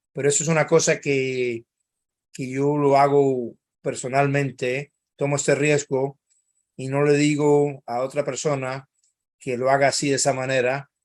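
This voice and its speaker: At a fairly slow pace, a man with a fairly high pitch speaks in a monotone, flat intonation, with long, frequent pauses. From Cuba, then Spain. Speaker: think tank analyst. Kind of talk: webinar talk. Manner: halting.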